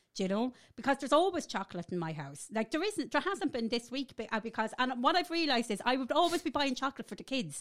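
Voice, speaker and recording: Speaking very fast in an Irish Midlands accent, a woman uses a high pitch with very wide swings, captured in a very clean recording against a silent background. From Ireland, Athlone. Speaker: podcast guest trying a diet plan. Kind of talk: casual chat. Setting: studio.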